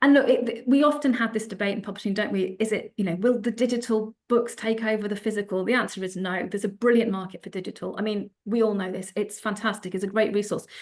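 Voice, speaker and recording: A woman with a British accent and fairly high pitch, very fast pace, fairly even intonation and hardly any pauses. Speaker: publishing sales executive, panelist. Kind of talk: panel presentation.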